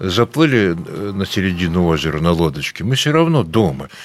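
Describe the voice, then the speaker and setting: The man's fairly low voice moves through very wide pitch swings. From Latvia (Riga). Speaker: rural workshop owner, medical equipment technologist. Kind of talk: interview. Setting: outdoors on a farmhouse veranda.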